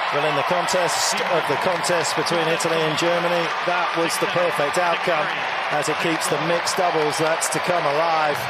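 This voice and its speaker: A man speaks in a high voice at a very even loudness, with noticeable background noise behind him. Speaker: tennis commentator. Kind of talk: live tennis commentary. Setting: stadium with crowd. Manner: animated; fast, excitable, flowing.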